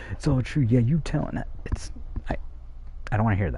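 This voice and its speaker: Quietly whispering, a man sounds somewhat breathy, with audible room echo around him. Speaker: streamer. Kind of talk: casual monologue to chat. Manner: whispering, quiet.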